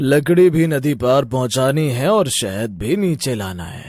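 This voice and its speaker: Using a cartoonish character voice, a man at medium pitch speaks in a calm tone at a moderate pace on a very clean recording with a silent background. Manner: calm, authoritative.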